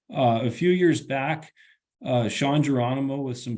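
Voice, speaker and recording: A man with an American accent, medium in pitch, with audible room echo. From western Montana. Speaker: forest ecology professor. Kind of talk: webinar lecture. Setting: online webinar. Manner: fast; casual, halting with repeated words.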